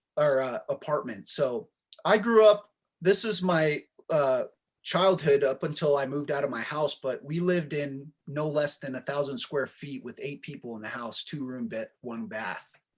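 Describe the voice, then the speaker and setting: At a moderate pace, a man with a Marshallese accent talks in a fairly high voice with lively intonation. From US (immigrated from Marshall Islands at age 5). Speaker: real estate investor and software founder. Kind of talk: podcast interview.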